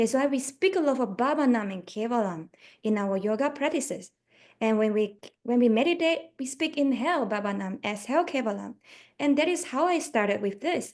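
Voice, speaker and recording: A woman with a Chinese accent talks at a fairly quick pace in a high pitch with lively intonation, over a quiet background. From Malaysia. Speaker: yoga teacher. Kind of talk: radio interview.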